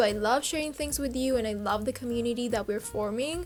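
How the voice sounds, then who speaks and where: The speaker has a Spanish accent. Noticeable background noise can be heard. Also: woman. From Uruguay. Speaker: fashion YouTuber. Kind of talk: casual vlog monologue.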